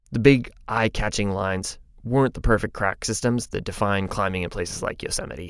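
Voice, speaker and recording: A man talks at a moderate pace in an ordinary speaking voice with ordinary pitch variation. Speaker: podcast narrator. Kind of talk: scripted narration.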